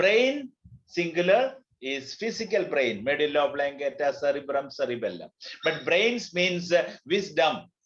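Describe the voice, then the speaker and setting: A man with a Keralan accent talks in a high pitch at a fairly slow pace. His pitch swings very widely. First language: Malayalam. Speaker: teacher, language trainer. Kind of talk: lecture. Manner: code-switching between English, Hindi and Telugu.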